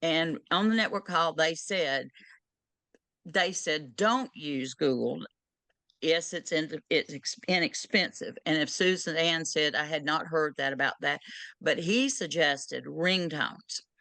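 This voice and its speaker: A woman talks fairly slowly in a Southern US accent. Her intonation is lively. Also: fairly low pitch for a woman. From US South. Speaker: end-of-life doula. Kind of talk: Q&A session advice.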